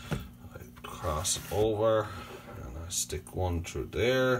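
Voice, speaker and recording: A man with a very deep, low pitch speaks at a very slow pace, his pitch swinging very widely. There is noticeable background noise. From Newfoundland. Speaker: YouTuber, home cook and hunter; YouTuber. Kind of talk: casual vlog cooking tutorial. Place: kitchen. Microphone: phone near.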